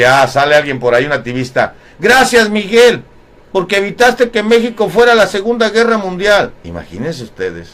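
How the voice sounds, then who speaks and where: A man at a high pitch and a moderate pace, with very wide pitch swings. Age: 60s. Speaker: online talk show host. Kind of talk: live stream monologue. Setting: live online broadcast.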